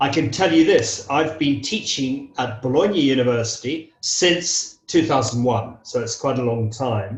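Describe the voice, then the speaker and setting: Somewhat breathy and fairly high-pitched, a man speaks at a fairly slow pace with hardly any pauses. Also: ordinary pitch variation. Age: 60s. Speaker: English teacher. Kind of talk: interview. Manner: hesitant, with frequent fillers.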